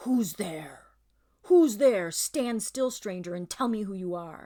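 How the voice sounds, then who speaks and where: A woman's put-on character voice at a medium pitch and a fairly slow pace, in a very clean recording with a silent background. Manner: menacing, demanding.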